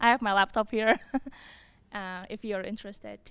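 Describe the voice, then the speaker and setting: A woman's bright, sharp tone at a fairly high pitch with ordinary variation, at a fairly quick pace. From Indonesia. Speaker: scientist. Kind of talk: panel talk.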